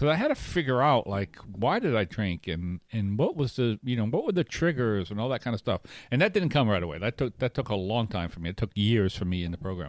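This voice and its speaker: A man speaks with hardly any pauses in a very clean recording, the sound dry and close with no echo and a silent background. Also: medium pitch for a man, fairly quick pace. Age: 60s. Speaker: podcast co-host in recovery. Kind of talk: casual chat. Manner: halting.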